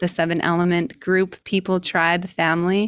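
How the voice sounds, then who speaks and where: A woman with a Utah accent and a medium pitch speaks at a moderate pace in a monotone, flat way on a very clean recording with a silent background. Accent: American, Utah. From US, southern Utah. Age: 30s. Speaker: breath work coach. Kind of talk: interview.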